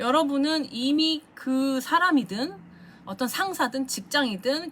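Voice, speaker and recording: Her pitch swings very widely. This woman's voice sits high. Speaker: tarot reader. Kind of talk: tarot reading monologue.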